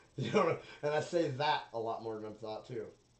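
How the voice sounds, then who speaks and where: Medium-pitched male voice with ordinary pitch variation over noticeable background noise. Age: 30s. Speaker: solo podcaster. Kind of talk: casual monologue.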